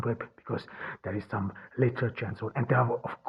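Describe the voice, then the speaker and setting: A man speaks at medium pitch with a non-native accent. His intonation is fairly even. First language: not English. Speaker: podcast host. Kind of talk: solo podcast monologue. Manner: halting, many fillers and restarts.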